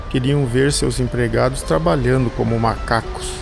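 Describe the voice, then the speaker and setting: At a fairly slow pace, a man talks with music in the background. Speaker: voice actor. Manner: ironic, sarcastic.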